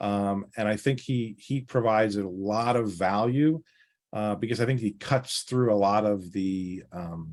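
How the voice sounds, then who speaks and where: A man's fairly low voice with a slight New York accent, a fairly slow pace and ordinary pitch variation. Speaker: financial planner. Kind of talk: podcast interview. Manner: direct.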